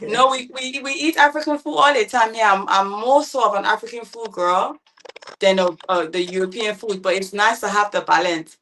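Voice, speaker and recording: A woman with a London accent and a fairly high voice, moderate pace and lively intonation. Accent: British London. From London, England. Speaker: entrepreneur opening a private dining business. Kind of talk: panel talk show discussion.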